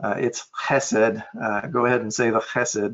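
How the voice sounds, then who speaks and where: A man with an American accent speaks at a medium pitch with fairly even intonation. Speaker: software trainer. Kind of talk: tutorial. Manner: hesitant, many fillers.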